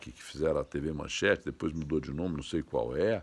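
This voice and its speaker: This man's voice has audible vocal fry. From Franca, São Paulo state, Brazil. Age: 60s. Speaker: online commentator. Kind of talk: monologue commentary. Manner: halting.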